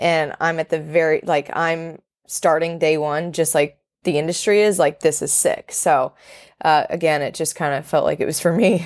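A woman with an American accent, an ordinary speaking voice, a moderate pace and fairly even intonation. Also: fairly low pitch for a woman. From North Carolina, Charlotte. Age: 20s. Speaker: sports content creator and founder. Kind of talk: interview.

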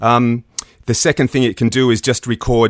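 With an Australian accent, the speaker talks at a moderate pace, and the sound is dry and close with no echo. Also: man. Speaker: audio producer and equipment designer. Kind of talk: casual interview.

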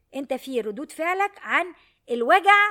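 A woman's high-pitched, animated voice at a moderate pace. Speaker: podcast host on emotional education. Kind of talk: solo monologue talk. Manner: animated, worked up today.

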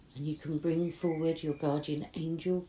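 A woman with a British accent speaks at a very deep, low pitch and a fairly slow pace. Her tone is warm, soothing, dark and mellow, with monotone, flat intonation. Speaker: meditation guide. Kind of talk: guided meditation. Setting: outdoors in a garden summer house with birdsong. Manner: soothing, slow and gentle, with long calming pauses; warm, reassuring, hushed.

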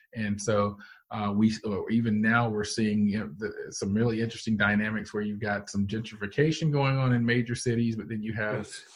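A man with an American accent talks at a fairly quick pace in a normal speaking voice. His pitch is fairly low and his intonation fairly even. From US South, Georgia (Canton). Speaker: meteorology professor. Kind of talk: interview.

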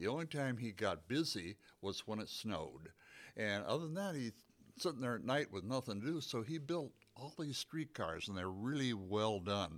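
Heard in a very clean recording with a silent background, a man with an American accent talks at medium pitch and a moderate pace, with very wide pitch swings. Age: 80s+. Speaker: museum volunteer and docent. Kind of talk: casual interview. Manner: halting, hesitant with many fillers.

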